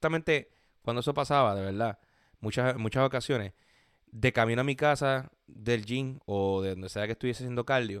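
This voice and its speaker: In a Puerto Rican accent, a man speaks at a fairly quick pace with medium pitch and ordinary pitch variation, in a very clean recording with a silent background and a dry, close sound with no echo. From Puerto Rico (Gurabo). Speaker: podcast host. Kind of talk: casual monologue. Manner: halting, many fillers.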